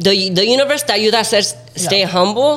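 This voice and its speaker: The talking races along very quickly while noticeable noise sits in the background. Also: man. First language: Spanish. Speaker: TikTok creator. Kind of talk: casual chat.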